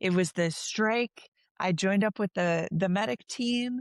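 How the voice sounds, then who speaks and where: A woman with an American accent talks in an ordinary speaking voice at a medium pitch, fairly slow pace and ordinary pitch variation. The sound is dry and close with no echo, over a quiet background. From northwest Indiana, Chicago area. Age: 30s. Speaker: street medic and healthcare worker. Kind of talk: casual conversation.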